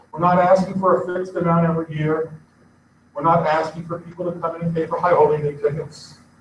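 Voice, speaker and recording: Speaking at a fairly quick pace, a high-pitched man leaves long, frequent pauses and keeps his intonation fairly even. His loudness swings widely, and there is audible room echo. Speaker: synagogue lay leader. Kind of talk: congregational speech. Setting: synagogue service.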